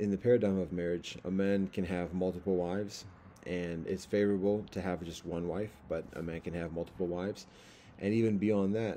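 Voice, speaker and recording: A man's very deep, low voice, dark and mellow in tone, with fairly even intonation, a fairly quick pace and light background noise. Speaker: religious teacher. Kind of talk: informal lecture. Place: home room. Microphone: webcam.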